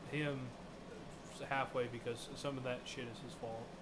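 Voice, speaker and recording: At a moderate pace, a man with an American accent speaks at medium pitch with fairly even intonation, in audible room echo with noticeable background noise. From United States. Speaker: podcast co-host. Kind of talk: casual chat.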